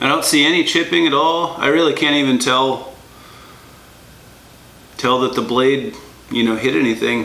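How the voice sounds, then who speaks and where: A moderate pace with audible room echo. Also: man. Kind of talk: tutorial. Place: workshop. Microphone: camera far.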